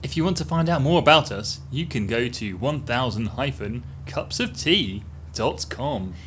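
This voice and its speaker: A man's medium-pitched voice with vocal fry, very wide pitch swings, and a very slow pace. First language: English (speaking Spanish). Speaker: cycle-touring podcast host. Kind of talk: casual chat.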